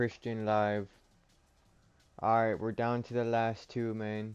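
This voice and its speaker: Music plays in the background as a man talks at a fairly slow pace. His tone is animated, his pitch fairly low. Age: 30s. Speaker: livestreamer opening trading cards. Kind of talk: casual livestream chat. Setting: home livestream with webcam. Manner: loud; casual, animated.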